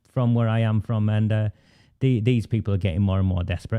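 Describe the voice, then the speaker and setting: In a Lancashire accent, the speaker's dark, mellow tone comes through against a quiet background. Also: man. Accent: Oldham accent, unchanged. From northern England, Oldham. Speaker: online political broadcaster and activist. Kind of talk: political discussion show. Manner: halting, with frequent fillers and restarts.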